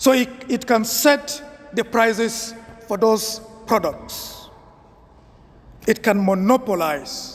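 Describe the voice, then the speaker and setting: At a very slow pace, a man speaks with ordinary pitch variation in a Nigerian accent. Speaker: priest. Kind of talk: homily.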